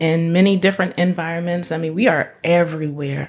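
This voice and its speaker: A woman with an American accent uses a normal speaking voice, fairly low in pitch with fairly even intonation. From North Carolina. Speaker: licensed clinical social worker. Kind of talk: casual interview chat. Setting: studio.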